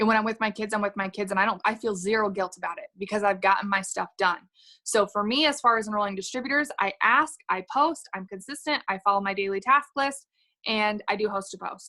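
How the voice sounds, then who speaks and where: At a fairly quick pace, a woman talks in a bright, sharp tone. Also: medium pitch for a woman, ordinary pitch variation. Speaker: network marketing distributor. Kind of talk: video call interview. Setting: video call. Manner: animated.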